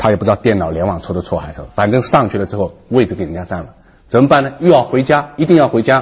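Somewhat breathy and animated, a man speaks at a medium pitch and a fairly quick pace. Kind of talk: talk show discussion.

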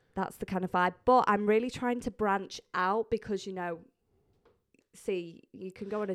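Talking fairly quickly, a woman shows ordinary pitch variation. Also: very clean recording, silent background. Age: 20s. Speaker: podcast guest host. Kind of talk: casual chat. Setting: studio.

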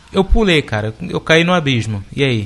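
The speaker is a man. His pitch sits fairly high. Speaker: podcast co-host. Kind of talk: casual chat. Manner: calm.

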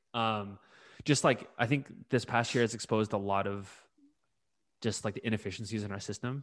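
With a Californian accent, a man of fairly low pitch talks at a fairly quick pace with fairly even intonation and long, frequent pauses against a quiet background. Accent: Californian American English. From California, US (Bay Area). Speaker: podcast co-host. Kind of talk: casual discussion.

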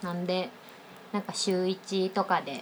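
Over noticeable background noise, a woman is speaking. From Osaka, Japan. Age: 20s. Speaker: freelance IT engineer and podcast co-host. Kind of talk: casual chat.

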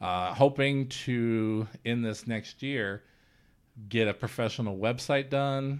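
Here a man speaks in an American accent at medium pitch. His pace is very slow and his intonation fairly even. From rural central Illinois. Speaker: indie filmmaker. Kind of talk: casual interview.

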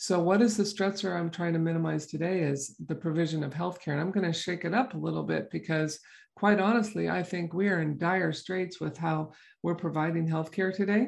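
Speaking at a fairly quick pace against a quiet background, a woman uses a fairly low pitch with vocal fry and ordinary pitch variation. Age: 60s. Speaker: podcast host and chiropractor. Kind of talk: casual health podcast monologue. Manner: conversational with fillers.

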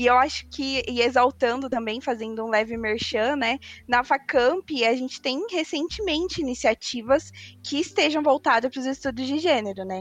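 A woman at a high pitch, moderate pace and ordinary pitch variation. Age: 20s. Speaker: university student. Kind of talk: casual discussion panel.

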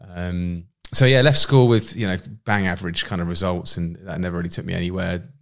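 Very fast and very deep, low-pitched, a man speaks in a southern English accent in a very clean recording with a silent background. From southern England, Winchester, Hampshire. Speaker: entrepreneur. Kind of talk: casual interview chat. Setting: studio.

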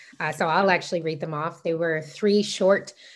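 Against a quiet background, a woman with an unremarkable speaking voice talks at a moderate pace, her fairly low pitch showing ordinary pitch variation. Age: 20s. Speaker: law student. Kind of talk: interview.

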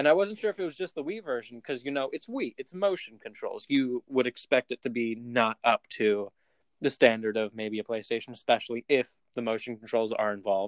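A man speaks in a normal speaking voice at medium pitch and a fairly quick pace, his intonation lively and the sound dry and close with no echo. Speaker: podcast host. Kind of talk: casual chat. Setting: remote recording.

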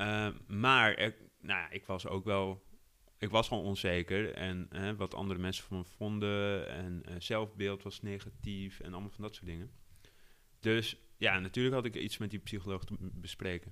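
A man's fairly low voice has a bright, sharp tone and sits on a very clean recording with a silent background. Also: moderate pace. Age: 30s. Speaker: editor-in-chief. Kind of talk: interview. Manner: hesitant, many fillers.

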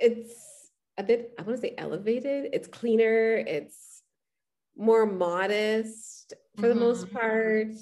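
The tone is dark and mellow. The pace is very slow. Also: woman. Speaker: podcast host. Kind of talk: casual chat. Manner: animated.

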